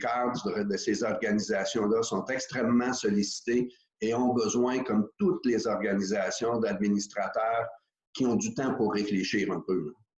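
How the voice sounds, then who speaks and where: A man with a normal speaking voice talks at a fairly slow pace and a medium pitch, with ordinary pitch variation and very even loudness. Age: 60s. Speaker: corporate board director. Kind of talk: interview. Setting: video call.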